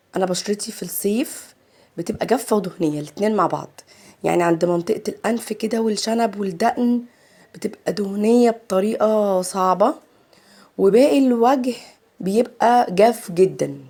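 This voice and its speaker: This woman's voice sits at a medium pitch with a dark, mellow tone, moving at a fairly slow pace with ordinary pitch variation. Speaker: makeup artist. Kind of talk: tutorial. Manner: chatty.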